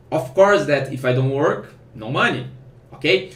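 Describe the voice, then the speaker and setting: A man's fairly high voice with a non-native accent, amid audible room echo and noticeable background noise. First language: Portuguese. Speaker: programmer and online course founder. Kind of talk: casual advice vlog. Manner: halting, with self-corrections.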